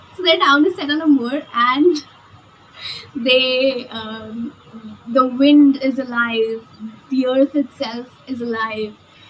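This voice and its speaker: Very slowly, a woman speaks with long, frequent pauses at a high pitch. Noticeable background noise is present. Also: ordinary pitch variation. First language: not English. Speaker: book vlogger. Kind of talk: casual vlog book review. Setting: outdoors on a balcony.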